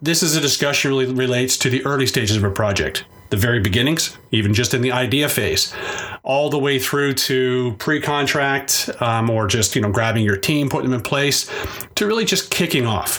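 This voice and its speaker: Noticeable background noise sits behind a man who talks at a fairly quick pace with ordinary pitch variation and very even loudness. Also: medium pitch for a man. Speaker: podcast host and technology advisor. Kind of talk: solo podcast monologue.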